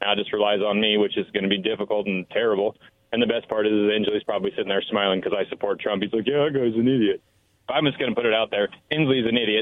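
An angry-toned man with an American accent talks at a very fast pace, his pitch fairly low. His loudness stays very even and his intonation fairly even. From Washington State, Richland. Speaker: caller. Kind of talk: talk radio call-in. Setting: phone call.

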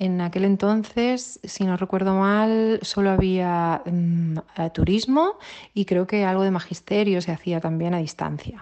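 A woman talks in a plain, everyday voice at a fairly slow pace. Her intonation stays fairly even. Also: medium pitch for a woman. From Ibiza, Sant Antoni. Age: 30s. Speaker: social project coordinator. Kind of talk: voice message testimony. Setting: recorded voice message.

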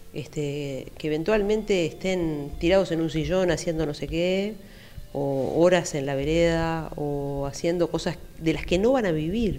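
A woman's dark, mellow tone at a fairly low pitch, with a fairly slow pace, ordinary pitch variation and audible room echo. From Uruguay, Montevideo (Carrasco). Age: 50s. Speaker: psychologist. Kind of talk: interview.

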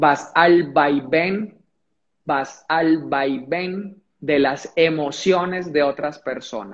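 Ordinary pitch variation marks this speech, delivered at a very slow pace. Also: man, fairly high pitch for a man. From Colombia, Pereira (coffee region). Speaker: motivational speaker. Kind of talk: livestream conversation. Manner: repetitive, halting.

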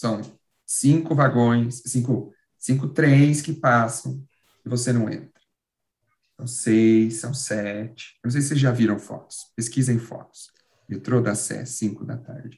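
Somewhat breathy, a man speaks at a fairly slow pace, his medium pitch held in fairly even intonation. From São Paulo. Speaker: actor and comedian. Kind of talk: casual chat.

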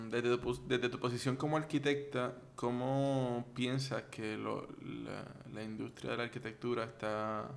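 A man's medium-pitched voice, a normal speaking voice, at a fairly slow pace. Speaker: podcast host. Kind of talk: interview.

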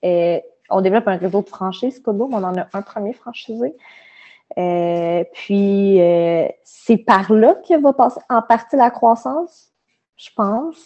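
With a Quebec accent, the speaker talks at a very slow pace, using lively intonation and big swings in loudness. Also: woman. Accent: Québécois French. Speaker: management consultant. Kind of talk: casual interview.

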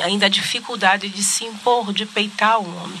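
Over noticeable background noise and audible room echo, a woman of medium pitch talks at a moderate pace in a monotone, flat intonation. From Salvador, Bahia, Brazil. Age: 50s. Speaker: political candidate and journalist. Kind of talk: interview. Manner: halting.

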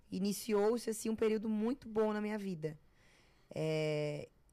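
Dark, mellow tone from a woman, her pitch varying in an ordinary way. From Florianópolis, southern Brazil. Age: 20s. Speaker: TV personality and content creator. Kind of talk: casual interview chat.

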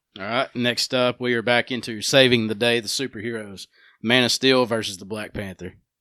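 With a Southern US accent and a medium pitch, a man talks at a fairly quick pace in a monotone, flat intonation, heard in a very clean recording with a silent background and a dry, close sound with no echo. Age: 20s. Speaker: podcast host. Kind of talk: casual chat.

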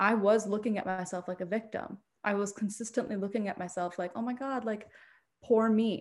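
The recording is very clean, with a silent background. A woman with a plain, everyday voice speaks at a fairly quick pace, her medium pitch held in fairly even intonation. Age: 20s. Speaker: writer and mental health content creator. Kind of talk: interview.

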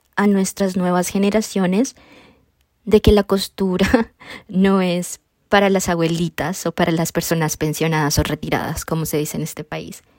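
A woman talks at a fairly slow pace in a medium pitch, with a plain, everyday voice. The sound is dry and close with no echo. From Colombia. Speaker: podcast host, quilter. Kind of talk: solo monologue podcast.

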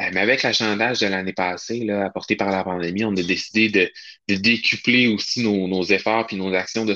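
With a Quebec accent, a man talks at a fairly low pitch in a bright, sharp tone. His pace is fairly quick and his intonation fairly even, over a quiet background. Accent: Québécois French. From Quebec, Charlevoix region. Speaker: hiking challenge organizer. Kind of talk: casual interview.

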